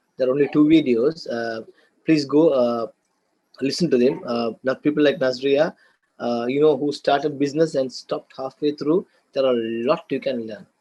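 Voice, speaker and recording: A man with a Sri Lankan accent speaks at a moderate pace in a fairly high pitch with a dark, mellow tone. The sound is dry and close, with no echo. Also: ordinary pitch variation. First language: Sinhala and Tamil. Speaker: business lecturer. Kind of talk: lecture. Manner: hesitant, many fillers and repeats.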